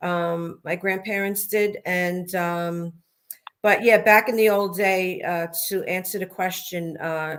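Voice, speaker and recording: A woman with a Brooklyn accent at a very slow pace, with monotone, flat intonation. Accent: deep Brooklyn. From Brooklyn, New York. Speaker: mob wife and author. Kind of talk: interview.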